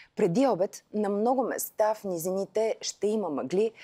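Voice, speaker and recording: At a fairly slow pace, a woman speaks in a dark, mellow tone with ordinary pitch variation. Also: quiet background. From Bulgaria. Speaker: TV weather presenter. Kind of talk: televised weather forecast read from script. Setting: TV studio. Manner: crisp, even-paced broadcast delivery; polite, warmly formal sign-off. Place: studio. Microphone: lapel.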